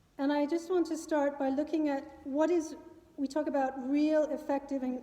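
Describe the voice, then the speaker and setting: A loud woman with an American accent speaks amid noticeable background noise and audible room echo. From New York City, US. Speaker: climate policy adviser. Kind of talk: public talk. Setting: meeting hall with live audience.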